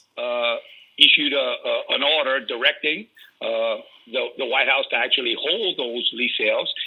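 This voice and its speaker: An animated man at a moderate pace with a Louisiana accent. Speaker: energy industry advocate. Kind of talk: radio interview. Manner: animated, repetitive stammering starts.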